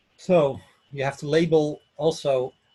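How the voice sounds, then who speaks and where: The voice is somewhat breathy, with fairly even intonation and a Dutch accent. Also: man. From Netherlands, Amsterdam. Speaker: IT architect giving a conference talk. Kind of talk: technical presentation. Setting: online session from home office. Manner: halting, many fillers.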